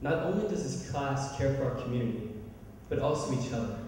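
Strong room echo surrounds a man speaking at a moderate pace. Light background noise is also present. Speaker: speaker. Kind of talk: formal ceremonial speech. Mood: proud, warm. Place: hall. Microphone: podium.

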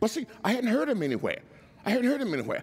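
The man's tone is animated. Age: 70s. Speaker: preacher. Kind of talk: sermon. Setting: church with congregation. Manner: animated, call-and-response. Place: church. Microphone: headset.

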